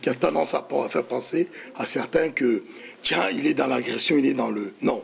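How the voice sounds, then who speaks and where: A moderate pace over noticeable background noise. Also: man. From DR Congo (Kinshasa). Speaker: diaspora political activist. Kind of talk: heated debate. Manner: forceful.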